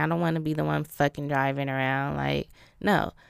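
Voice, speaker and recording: Woman at a moderate pace, very clean recording with a silent background. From Arizona. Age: 20s. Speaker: podcast host. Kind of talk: casual monologue. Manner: casual, halting with fillers.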